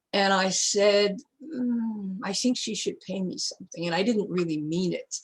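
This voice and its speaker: The woman's pitch is medium, with ordinary variation. Her voice carries some breathiness. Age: 80s+. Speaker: feminist psychologist and author. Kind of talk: interview.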